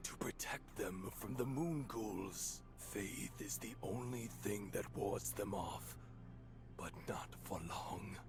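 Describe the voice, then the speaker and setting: A man whispering in a put-on character voice at a very slow pace, over loud background noise. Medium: video game. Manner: terse, questioning.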